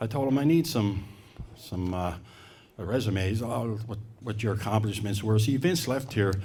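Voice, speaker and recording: Audible room echo is present here. The man's voice sits at a medium pitch. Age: 70s. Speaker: hall of fame committee presenter. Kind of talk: award ceremony speech. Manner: halting.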